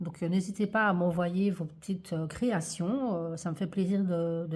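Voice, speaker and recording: A somewhat breathy woman's voice at medium pitch. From Belgium, Liège-Verviers area. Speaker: craft youtuber. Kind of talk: tutorial. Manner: hesitant, many fillers.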